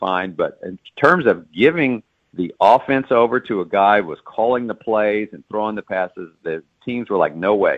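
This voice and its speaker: Here a man has an ordinary speaking voice with a fairly low pitch. He keeps a moderate pace and ordinary pitch variation. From Texas (Dallas). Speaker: author and sportswriter. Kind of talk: interview.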